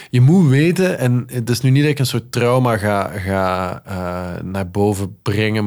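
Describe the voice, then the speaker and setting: Recorded very cleanly against a silent background, a man with an unremarkable speaking voice talks at a fairly slow pace with lively intonation. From Netherlands. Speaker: radio and TV presenter, music lover. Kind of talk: casual conversation.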